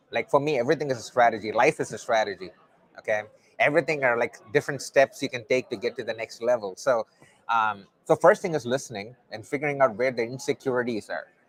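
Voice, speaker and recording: Speaking at a very fast pace with a slight Indian accent, a man uses a medium-pitched voice with ordinary pitch variation in dry, close sound with no echo. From South India. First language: not English. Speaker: testing coach and conference speaker. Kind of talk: conference interview. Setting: conference venue.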